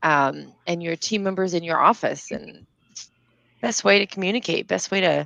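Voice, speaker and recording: A woman's fairly low voice in an American accent, with vocal fry, a bright, sharp tone, ordinary pitch variation and a moderate pace, recorded dry and close with no echo over a quiet background. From borderline US South, not Kentucky. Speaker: business webinar host. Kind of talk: casual chat.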